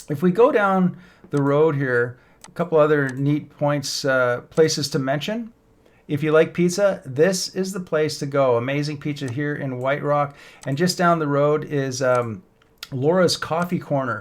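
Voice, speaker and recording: With a Canadian accent, a man talks at a fairly slow pace in an ordinary speaking voice, fairly high in pitch with ordinary pitch variation. The recording is very clean, with a silent background. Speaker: real estate agent. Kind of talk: map tour tutorial. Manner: casual with fillers.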